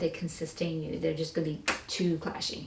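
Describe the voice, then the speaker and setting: Female speech marked by audible room echo and noticeable background noise. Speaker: tarot reader. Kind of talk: tarot reading. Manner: fast; casual.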